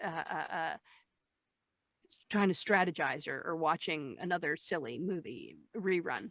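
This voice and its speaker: This woman's voice sits fairly low in pitch, with ordinary pitch variation at a moderate pace. The recording is very clean with a silent background, and the sound is dry and close with no echo. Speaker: voice actress. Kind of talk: interview answer. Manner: conversational, talkative.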